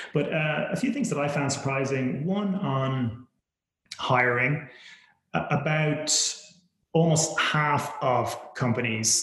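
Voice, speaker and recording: In a room with audible echo, a man speaks with an Irish accent. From Ireland. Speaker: venture capital investor. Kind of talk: interview. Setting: remote call.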